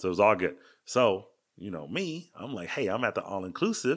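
Very clean audio of a man, background completely silent. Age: 40s. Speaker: podcast host, father. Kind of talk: casual chat.

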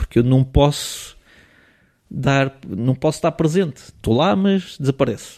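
A man with an ordinary speaking voice talks at a fairly high pitch with ordinary pitch variation, in a very clean recording with a silent background. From Portugal, raised partly in Switzerland until age 10. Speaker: photographer. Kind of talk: casual interview.

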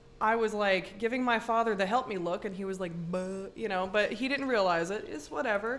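Speaking at a fairly quick pace, a woman has a plain, everyday voice. Her medium pitch shows ordinary variation. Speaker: podcast host and local artist. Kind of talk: casual chat.

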